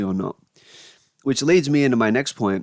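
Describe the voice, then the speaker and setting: A man at a very fast pace, in a dry, close sound with no echo. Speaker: YouTuber talking to camera. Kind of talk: casual monologue rant. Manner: rambling, filler-heavy.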